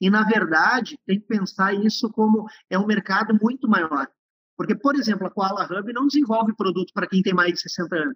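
Speaking in a Gaúcho Brazilian accent, this man has a high pitch. He moves at a moderate pace with ordinary pitch variation. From interior of Rio Grande do Sul, Uruguay border. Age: 50s. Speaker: entrepreneur, business founder. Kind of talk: interview conversation.

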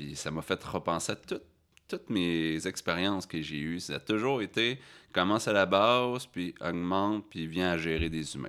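The background is silent, and the recording very clean. This man talks at a moderate pace, his pitch varying in an ordinary way. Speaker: farmer and human resources manager. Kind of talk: interview.

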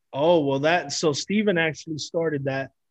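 Using fairly even intonation, a man with a fairly high pitch speaks in a normal speaking voice. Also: dry, close sound with no echo. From Miami, Florida (Cuban-American). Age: 30s. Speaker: actor. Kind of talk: casual chat.

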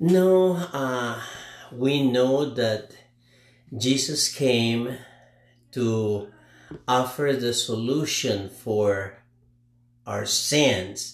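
Speaking at a very slow pace with long, frequent pauses, a man with a non-native accent uses a medium pitch and ordinary pitch variation. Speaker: father of host. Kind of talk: casual chat. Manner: halting.

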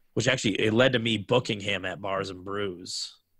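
With an American accent, a man speaks at a moderate pace in a fairly low pitch and a bright, sharp tone, and the recording is very clean with a silent background. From small-town Wisconsin. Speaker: DJ and music producer. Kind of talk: casual chat.

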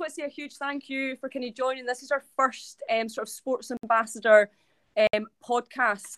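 A woman with a Scottish accent speaks in a high pitch with fairly even intonation and big swings in loudness, the sound dry and close with no echo. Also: moderate pace. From Scotland, Ayrshire. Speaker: podcast host, school staff. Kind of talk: introduction of guest. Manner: hesitant with many fillers.

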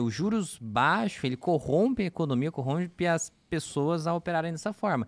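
The man speaks with a high pitch. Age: 20s. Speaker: podcast host. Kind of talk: casual podcast interview.

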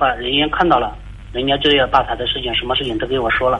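A man is speaking. His intonation is fairly even. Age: 30s. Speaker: caller seeking relationship advice. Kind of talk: call-in advice conversation. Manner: halting. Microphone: voice sounds hollow, like speakerphone.

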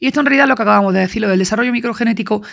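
The recording is very clean, with a silent background. A woman talks at a fairly high pitch with ordinary pitch variation. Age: 40s. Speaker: student recording study notes. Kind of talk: lecture. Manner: halting.

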